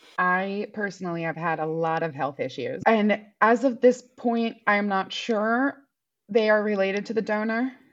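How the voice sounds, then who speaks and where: Against a quiet background, a woman with a plain, everyday voice speaks at medium pitch and a moderate pace, using ordinary pitch variation. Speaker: donor-conceived artist and entertainer. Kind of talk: interview.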